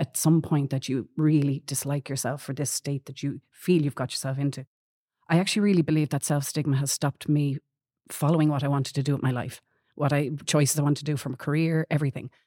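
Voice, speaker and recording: In an Irish accent and a dark, mellow tone, this speaker goes at a very fast pace with fairly even intonation, the sound dry and close with no echo. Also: woman, very deep, low pitch for a woman, very clean recording, silent background. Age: 40s. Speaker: patient advocate. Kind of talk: interview.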